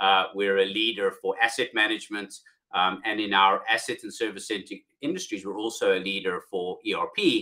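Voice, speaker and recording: A man talks with a South African accent. His pace is moderate. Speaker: software company CEO. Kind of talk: business podcast interview.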